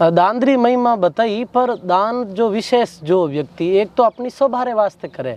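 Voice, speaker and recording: A man with a high pitch and ordinary pitch variation speaks over noticeable background noise. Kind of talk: interview answer.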